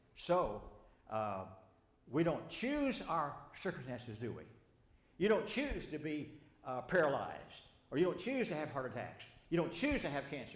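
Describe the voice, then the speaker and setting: A man's fairly high voice with a Southern US accent, very wide pitch swings, an animated tone, a moderate pace, long, frequent pauses and audible room echo. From Arkansas. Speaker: Bible study teacher. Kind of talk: sermon-style Bible study lesson. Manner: animated, conversational with audience questions; halting, with repetitions and false starts.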